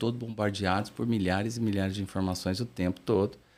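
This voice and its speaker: Pitch sits fairly low for this man, whose intonation is fairly even. He talks at a very fast pace. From interior of São Paulo state, Brazil. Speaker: therapist / mind professional. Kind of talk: interview. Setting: studio.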